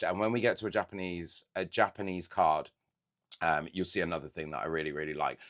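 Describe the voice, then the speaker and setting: In a British accent, the speaker uses lively intonation on a very clean recording with a silent background. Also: man. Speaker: Pokémon card collector YouTuber. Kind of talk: casual unboxing chat.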